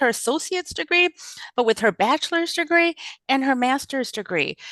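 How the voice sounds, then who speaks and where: A woman talks at a very fast pace with very wide pitch swings. The sound is dry and close, with no echo. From US Midwest, Chicago area, immigrant family. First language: not English. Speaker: social work professor. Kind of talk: interview.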